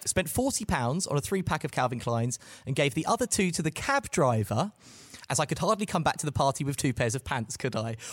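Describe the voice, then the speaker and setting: Somewhat breathy speech comes at a fairly quick pace with lively intonation. The sound is dry and close, with no echo. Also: man, fairly high pitch for a man. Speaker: podcast host. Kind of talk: casual chat.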